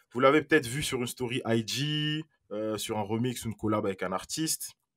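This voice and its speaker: A man is heard on a very clean recording against a silent background, the sound dry and close without any echo. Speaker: podcast host. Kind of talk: casual interview.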